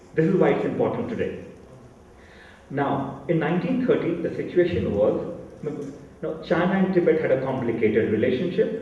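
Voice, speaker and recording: Over noticeable background noise and audible room echo, a man speaks at a moderate pace with a high pitch, very wide pitch swings, and long, frequent pauses. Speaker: panel speaker on Tibet. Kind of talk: lecture. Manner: loud.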